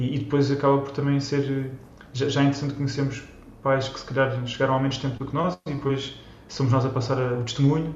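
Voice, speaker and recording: Fairly quick and monotone, with flat intonation, a man at medium pitch talks amid audible room echo. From Portugal, Almada. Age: 30s. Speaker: Portuguese emigrant, consultant. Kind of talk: interview. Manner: halting, many repetitions.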